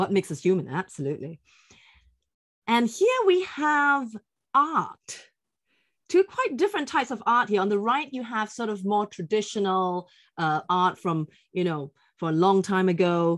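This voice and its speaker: A woman speaks at a moderate pace and medium pitch, with very wide pitch swings. She leaves long, frequent pauses against a quiet background. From Singapore. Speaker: author and teacher trainer. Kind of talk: webinar conversation. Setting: online webinar. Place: home room. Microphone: webcam.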